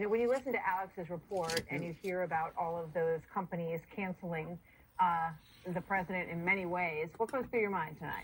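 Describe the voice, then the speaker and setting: Somewhat breathy, a woman speaks at a fairly quick pace with a fairly low pitch and ordinary pitch variation. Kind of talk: TV news interview host.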